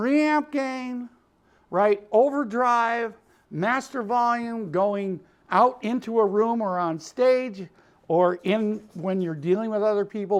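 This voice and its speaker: With a Chicago accent, a man speaks at a high pitch with lively intonation. His tone is animated, and the background is quiet. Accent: Chicago twang. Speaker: music producer and studio owner. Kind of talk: tutorial. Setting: recording studio.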